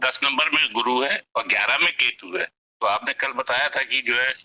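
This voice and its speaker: Dry and close with no echo, the sound carries a man speaking. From Lucknow, northern India. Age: 60s. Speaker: astrology enthusiast asking questions. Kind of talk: question and answer on online class.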